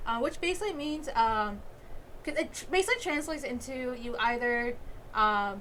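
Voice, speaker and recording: A woman's high-pitched voice with lively intonation, a moderate pace and noticeable background noise. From Bengali heritage. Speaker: YouTube movie reviewer. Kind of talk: video commentary breakdown. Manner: casual with many fillers.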